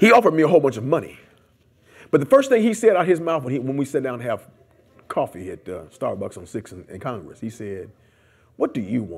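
A man at a very fast pace, animated in tone, with vocal fry, very wide pitch swings, big swings in loudness and long, frequent pauses. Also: fairly high pitch for a man. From US Midwest (Detroit, Columbus). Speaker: community activist; interviewee. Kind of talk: oral history interview. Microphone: lapel.

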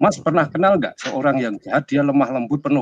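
A man's fairly high voice at a very fast pace, with a dry, close sound and no echo. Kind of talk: casual discussion. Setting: video call.

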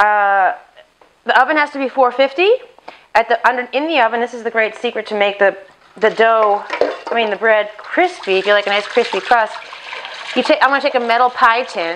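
A woman speaks at a fairly quick pace and a fairly high pitch. Noticeable background noise runs underneath. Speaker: home cooking video host. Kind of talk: cooking tutorial. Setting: home kitchen, chest mic. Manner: casual, chatty with asides.

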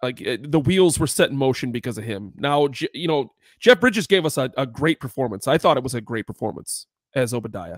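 A man with lively intonation and a fairly quick pace, in a dry sound with no echo and a quiet background. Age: 30s. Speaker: podcast co-host. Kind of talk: casual chat. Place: home room. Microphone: studio mic.

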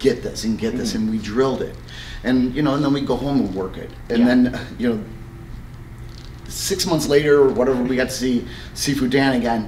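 A man at a fairly quick pace with ordinary pitch variation, audible room echo and light background noise. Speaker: martial arts instructor. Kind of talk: interview answer. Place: gym.

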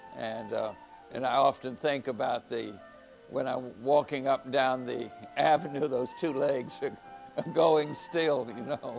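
Faint music plays in the background as a man talks at a fairly slow pace. His pitch is medium, with ordinary pitch variation. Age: 80s+. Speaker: historian and storyteller. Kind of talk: tour host narration. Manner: casual, anecdotal, hesitant. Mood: warm, reminiscing. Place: studio.

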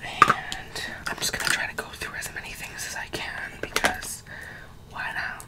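Whispering at a moderate pace, the voice shows big swings in loudness. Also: woman. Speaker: ASMR creator. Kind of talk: ASMR makeup collection showing, casual talk to camera. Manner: casual, chatty, whispery ASMR delivery. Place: home room. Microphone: earbuds.

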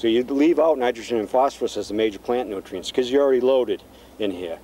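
There is light background noise and a dry sound with no echo. The speaker is a man. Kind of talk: interview answer. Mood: calm, informative. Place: garden.

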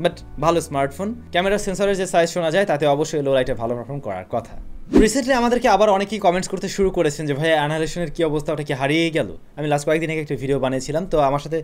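The speaker is a man with a fairly high pitch. His intonation is lively. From Bangladesh. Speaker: tech YouTuber. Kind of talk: tech news vlog. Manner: casual and lively. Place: home room.

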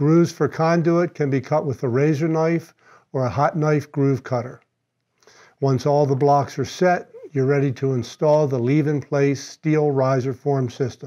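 The voice has a dark, mellow tone, fairly even intonation and a fairly slow pace. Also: man, fairly high pitch for a man.

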